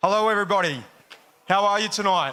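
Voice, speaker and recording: A man with an Australian accent speaks in a raised, projected voice at a high pitch. Audible room echo surrounds him. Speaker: jiu-jitsu parent demonstrating. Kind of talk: live demonstration commentary.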